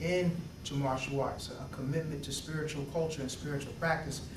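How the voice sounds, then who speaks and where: A man with an American accent speaks at a moderate pace and a fairly high pitch, in a monotone, flat intonation. Noticeable background noise and audible room echo fill the recording. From Philadelphia, Pennsylvania. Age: 30s. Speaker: doctoral candidate and martial arts student. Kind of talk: interview testimony. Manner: halting, many fillers and repeats.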